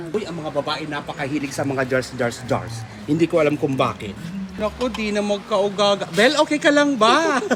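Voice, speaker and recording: Over music in the background, a man with a high pitch and an animated tone speaks at a moderate pace with very wide pitch swings. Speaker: vlogger. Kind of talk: street pitchman-style sales pitch, shop walkthrough vlog. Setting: inside a shop, on location. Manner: animated, excitable, hyping items with exclamations.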